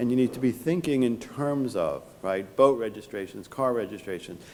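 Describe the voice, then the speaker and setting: With a New York accent, a man talks at a fairly quick pace in a medium pitch. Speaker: tax lawyer. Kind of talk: conference talk. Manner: halting, with repetitions and fillers.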